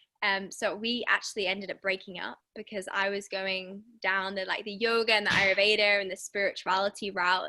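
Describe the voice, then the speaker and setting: The speaker has an English accent and a bright, sharp tone. Delivery runs at a fairly quick pace with monotone, flat intonation. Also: woman. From England. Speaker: women's wellbeing coach. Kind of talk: podcast interview.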